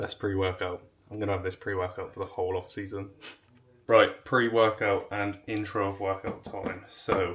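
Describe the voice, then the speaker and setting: In an English accent, a man speaks at a moderate pace with a fairly low pitch and monotone, flat intonation. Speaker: bodybuilder vlogger. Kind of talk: vlog talk to camera.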